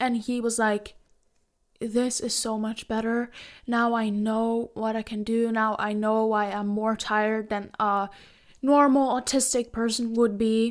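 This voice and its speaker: A woman speaks in a Norwegian accent at a fairly high pitch. Her delivery is fairly slow, with monotone, flat intonation. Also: very clean recording, silent background. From Norway. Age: 20s. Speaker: Twitch streamer. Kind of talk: casual Q&A talk to camera.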